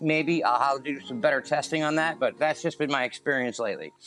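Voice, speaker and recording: Music plays in the background while a man speaks at a fairly high pitch. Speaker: camera gear videographer. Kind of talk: casual tutorial talk to camera. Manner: casual, hesitant with fillers.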